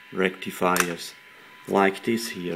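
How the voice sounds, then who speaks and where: There is light background noise behind a man talking. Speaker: radio hobbyist repairing a CB set. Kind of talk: tutorial. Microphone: phone near.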